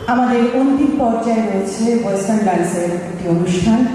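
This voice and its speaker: There is noticeable background noise as a woman speaks at a fairly high pitch. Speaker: poetry reciter. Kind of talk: stage announcement. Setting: live stage.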